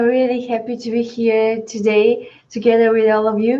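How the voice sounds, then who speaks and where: A woman speaks in a high pitch with a Bulgarian accent. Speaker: social entrepreneur, tech startup CEO. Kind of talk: webinar panel discussion.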